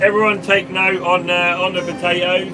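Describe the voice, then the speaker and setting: A man speaks at a moderate pace with a high pitch and ordinary pitch variation, over noticeable background noise. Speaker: farmer and vlogger. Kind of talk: live stream chat reading comments. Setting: in a tractor cab while spraying. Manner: mumbling.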